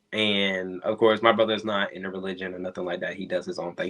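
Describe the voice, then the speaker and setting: The speech comes at a very fast pace. It is in a Southern US accent. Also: man. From US South, North Carolina. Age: 30s. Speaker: entrepreneur and model. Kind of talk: interview.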